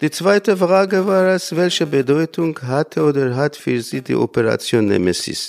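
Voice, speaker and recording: In a dry, close sound with no echo, a man with a fairly high pitch speaks at a moderate pace with lively intonation and hardly any pauses. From Iran, Armenian community near Isfahan. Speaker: lecturer in Armenian. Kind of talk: interview statement. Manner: halting.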